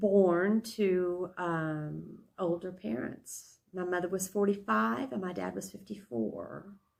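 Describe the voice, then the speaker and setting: The speech moves at a very slow pace in a West Texas accent. The intonation is lively and varied. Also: woman. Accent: West Texas Southern US. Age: 70s. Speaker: interviewee. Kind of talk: interview. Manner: hesitant, many fillers.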